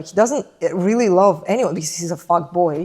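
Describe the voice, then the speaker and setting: A woman's animated voice with lively intonation and a Russian accent. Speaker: literature commentator. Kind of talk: casual chat.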